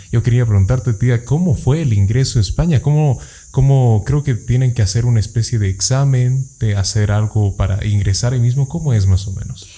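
The man's voice sits at a medium pitch and is somewhat breathy. Its tone is dark and mellow. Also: ordinary pitch variation, fairly quick pace. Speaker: podcast host. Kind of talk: casual interview. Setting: studio.

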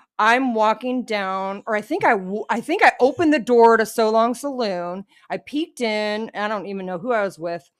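A woman's fairly high voice, an ordinary speaking voice at a moderate pace, with ordinary pitch variation and hardly any pauses. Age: 40s. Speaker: podcast co-host. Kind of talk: casual chat. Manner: laughs often.

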